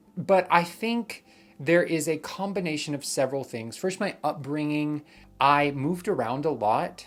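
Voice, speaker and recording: In a very clean recording with a silent background, the speaker uses an American accent, lively intonation and a fairly slow pace. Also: man. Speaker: vlogger. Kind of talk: vlog monologue. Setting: at home. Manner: loud, boisterous when filming.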